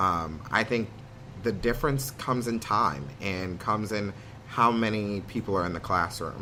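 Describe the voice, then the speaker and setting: The voice moves at a moderate pace with ordinary pitch variation, and audible room echo surrounds it. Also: man. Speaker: theatre student, actor. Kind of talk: interview conversation. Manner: loud, high energy; hesitant with many ums.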